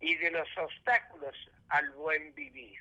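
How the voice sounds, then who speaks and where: A man uses a raised, projected voice at a fairly slow pace. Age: 80s+. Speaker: professor and human rights activist. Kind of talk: interview.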